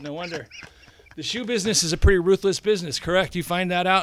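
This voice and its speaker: A man speaking at a high pitch and a very fast pace, with noticeable background noise. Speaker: magazine host. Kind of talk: casual chat.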